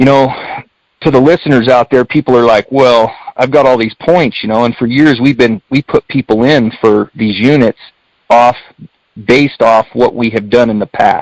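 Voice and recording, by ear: A man talks at a moderate pace and medium pitch with fairly even intonation. The sound is dry and close, with no echo.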